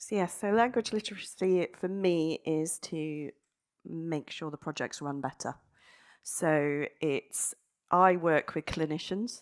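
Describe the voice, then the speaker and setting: In an English accent, the speaker talks at a very slow pace with ordinary pitch variation. The recording is very clean and dry, close, with a silent background and no echo. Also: woman, fairly low pitch for a woman. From England. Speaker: data analyst in ambulance service. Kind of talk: panel discussion.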